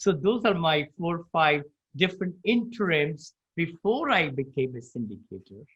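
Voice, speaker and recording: A high-pitched male voice with lively intonation. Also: moderate pace. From India. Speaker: real estate investor and motivational speaker. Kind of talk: interview.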